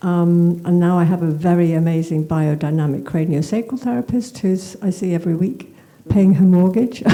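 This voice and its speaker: A woman speaks with fairly low pitch at a moderate pace. Noticeable background noise can be heard. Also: ordinary pitch variation. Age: 70s. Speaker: workshop participant asking a question. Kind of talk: audience question at live event. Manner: halting.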